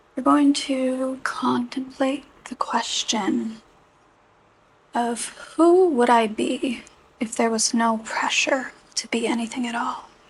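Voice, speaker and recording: Over noticeable background noise, a high-pitched woman talks very slowly in a gentle, soothing tone. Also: ordinary pitch variation. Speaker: Reiki energy healing practitioner. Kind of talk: Reiki session guided narration. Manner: gentle, slow, soothing.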